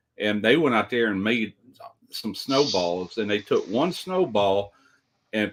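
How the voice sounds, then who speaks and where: A man with a Southern US accent talks at a medium pitch. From US South, South Mississippi. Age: 60s. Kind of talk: casual chat.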